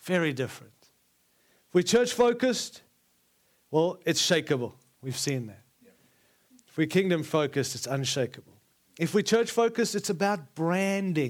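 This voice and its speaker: A man with a South African accent talks in a high voice, his pitch swinging very widely. He leaves long, frequent pauses. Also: moderate pace, big swings in loudness. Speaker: preacher. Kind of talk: sermon. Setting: church conference with audience.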